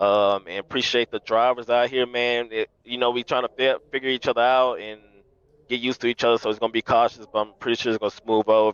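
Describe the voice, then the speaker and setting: Talking at a very fast pace with a Louisiana accent, a man at medium pitch comes through in a dry, close sound with no echo. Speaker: sim race winner. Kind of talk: post-race interview. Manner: energetic.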